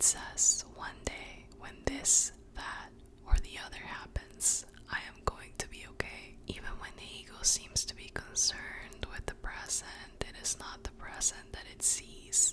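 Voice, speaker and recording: A woman whispers at a fairly slow pace with big swings in loudness over noticeable background noise. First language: Spanish. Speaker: ASMR creator. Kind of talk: whispered ASMR book reading for sleep. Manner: whispered, soft, slow.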